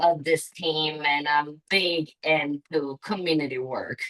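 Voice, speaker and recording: A very slow woman's voice, very deep and low in pitch, with an Italian accent, in a dry, close sound with no echo. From Italy. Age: 30s. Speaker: parent, council candidate. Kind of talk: candidate statement at public meeting. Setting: community council meeting. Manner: halting, hesitant.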